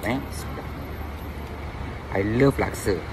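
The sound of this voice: Delivered at a fairly slow pace with fairly even intonation, the voice comes through against a clear background.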